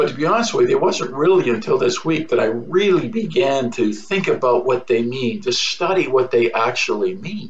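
At a moderate pace, a man speaks with very wide pitch swings, along with audible room echo and noticeable background noise. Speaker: pastor. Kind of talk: sermon. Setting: home office.

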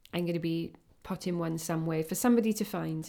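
A South Wales accent comes through on a very clean recording with a silent background. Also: woman. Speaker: photographer. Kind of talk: casual interview.

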